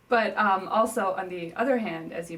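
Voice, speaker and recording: A woman talks at a fairly slow pace with fairly even intonation, audible room echo and noticeable background noise. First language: Newari. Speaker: interviewee, native speaker. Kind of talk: interview. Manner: casual, hesitant with fillers.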